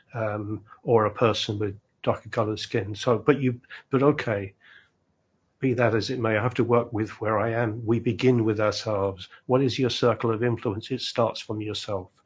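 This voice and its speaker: Speaking in a British accent, a man talks at a moderate pace with a medium pitch, a somewhat breathy quality and monotone, flat intonation. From UK. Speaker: community leader, former English teacher. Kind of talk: panel discussion. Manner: halting, many repetitions.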